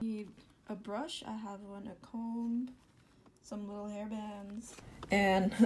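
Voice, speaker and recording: A woman talks quietly at a medium pitch. Her intonation stays fairly even. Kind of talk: casual talk to camera. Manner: quiet, voice kept down.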